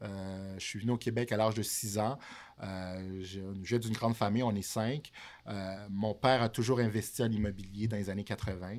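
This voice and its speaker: Here a man with an unremarkable speaking voice talks at a moderate pace, fairly low in pitch and with fairly even intonation. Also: very clean recording, silent background. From Montreal, Quebec (born in Haiti, arrived at 6). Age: 30s. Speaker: real estate broker. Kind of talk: casual chat. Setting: studio.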